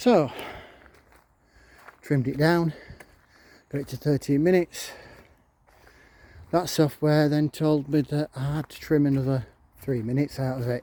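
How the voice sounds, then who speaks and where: A man with a Yorkshire accent and a dark, mellow tone, moderate in pace with long, frequent pauses, fairly even intonation and big swings in loudness, in a dry, close sound with no echo. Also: fairly high pitch for a man. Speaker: vlogger. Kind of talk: casual vlog rant. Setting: outdoors in a park.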